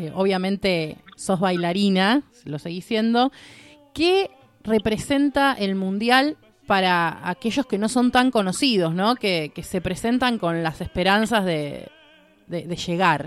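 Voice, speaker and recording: With lively intonation, a woman at medium pitch talks in an unremarkable speaking voice. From Argentina. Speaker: radio co-host. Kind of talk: live radio show chat.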